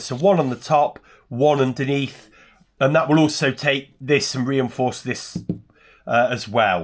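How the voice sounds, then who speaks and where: A man keeps a moderate pace in a very clean recording with a silent background. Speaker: sailing video maker. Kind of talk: DIY tutorial. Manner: casual; loud.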